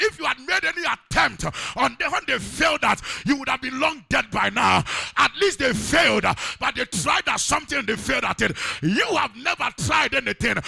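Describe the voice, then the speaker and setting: Noticeable background noise surrounds a man speaking at a moderate pace in an animated tone. His voice sounds dry and close, with no echo. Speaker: preacher. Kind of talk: sermon. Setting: church. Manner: animated, call-and-response, urging congregation to shout Amen; emphatic, exhorting, with pauses and repeated phrases.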